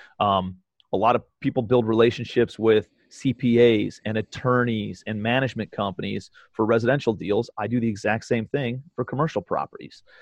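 A man speaks in a plain, everyday voice at medium pitch. His intonation stays fairly even. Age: 30s. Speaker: real estate investor. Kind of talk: casual chat. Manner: fast.

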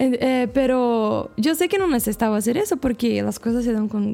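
Music plays behind a woman who speaks at a fairly quick pace with a fairly high pitch. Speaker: missionary. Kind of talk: casual chat.

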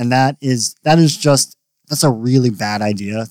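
This is an unremarkable speaking voice at a moderate pace, recorded with a dry, close sound and no echo. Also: man. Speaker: drummer in band. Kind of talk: casual podcast chat.

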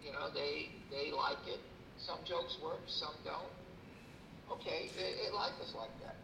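There is noticeable noise behind this man's voice. He talks at a fairly slow pace with long, frequent pauses. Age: 60s. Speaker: comedian and former consultant. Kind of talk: casual interview.

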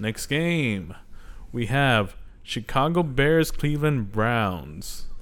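His intonation is lively and his pitch medium. The man speaks at a very slow pace. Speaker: sports podcast host. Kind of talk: casual chat.

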